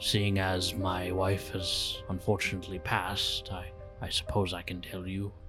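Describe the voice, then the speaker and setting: Behind a put-on character voice, clear music can be heard. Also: man. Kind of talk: earnest fantasy roleplay. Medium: actual play. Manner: measured, gentle, slightly halting with hesitations.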